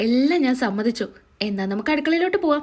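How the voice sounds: This woman has a high pitch and a slightly mellow tone. She talks at a fairly quick pace with lively intonation.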